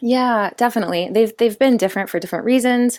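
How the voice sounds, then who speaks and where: A woman speaks with a Californian accent. Her pace is fairly quick and her pitch variation ordinary. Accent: Californian American English. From Southern California. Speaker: peace builder and activist. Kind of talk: interview. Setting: remote call from home.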